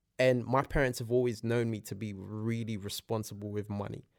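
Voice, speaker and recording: A man speaks in a London accent with fairly even intonation. The recording is very clean, with a silent background. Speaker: podcast guest. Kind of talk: casual chat.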